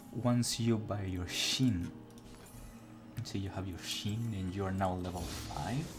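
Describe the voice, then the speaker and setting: A man with a fairly low voice speaks at a very slow pace, leaving long, frequent pauses. His pitch varies in an ordinary way, and music plays in the background. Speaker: gaming guide creator. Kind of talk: gameplay tutorial narration. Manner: casual.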